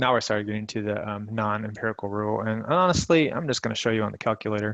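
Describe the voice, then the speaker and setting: This man talks at a very fast pace with a Midwestern US accent. His fairly low voice has ordinary pitch variation. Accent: US Midwest. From Michigan. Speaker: math teacher. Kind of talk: tutorial.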